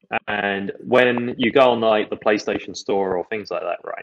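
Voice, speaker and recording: At a moderate pace, a man talks with an English accent. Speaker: video game podcast co-host. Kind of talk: casual chat.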